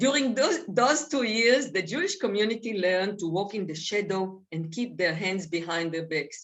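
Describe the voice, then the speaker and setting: This woman talks with lively intonation in a non-native accent. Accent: foreign. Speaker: author and speaker. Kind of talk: reading aloud; talk to seniors group.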